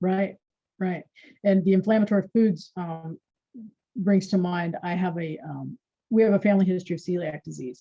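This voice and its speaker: Her tone dark and mellow and somewhat breathy, a woman of medium pitch speaks at a moderate pace with fairly even intonation and long, frequent pauses. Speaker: wellness practitioner. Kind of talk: casual chat.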